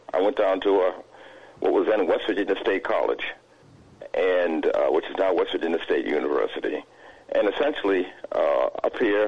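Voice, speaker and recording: A man with an American accent speaks at a moderate pace, broken by long, frequent pauses. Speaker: caller. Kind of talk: call-in comment. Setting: phone call.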